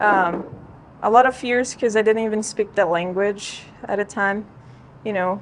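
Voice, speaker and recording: A woman in a Portuguese accent talks at a moderate pace and medium pitch with fairly even intonation and long, frequent pauses. Noticeable background noise is present. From Brazil. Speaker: golf coach. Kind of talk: casual chat.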